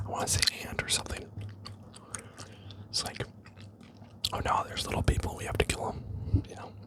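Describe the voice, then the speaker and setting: Whispered words come at a very fast pace, broken by long, frequent pauses. Noticeable background noise sits behind them. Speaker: ASMR creator. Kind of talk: ASMR unboxing ramble. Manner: whispered, soft-spoken.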